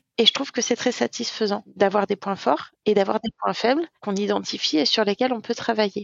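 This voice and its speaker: At a moderate pace and with hardly any pauses, a woman speaks in a fairly high pitch with ordinary pitch variation and vocal fry. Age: 30s. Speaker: eating disorder survivor sharing testimony. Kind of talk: testimony.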